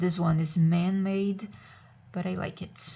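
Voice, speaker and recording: With a non-native accent, a woman speaks in a relaxed, somewhat breathy tone, fairly low in pitch and at a fairly slow pace. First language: not English. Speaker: witchcraft crafts content creator. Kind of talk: casual tutorial. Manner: relaxed, hesitant with fillers.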